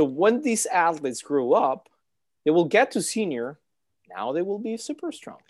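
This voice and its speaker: In a very clean recording with a silent background, a man speaks at a high pitch with very wide pitch swings. His pace is moderate and his loudness swings a lot. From Mexico. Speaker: swim coach and former swimmer. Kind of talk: casual interview chat. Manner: halting, with filler words and repeats.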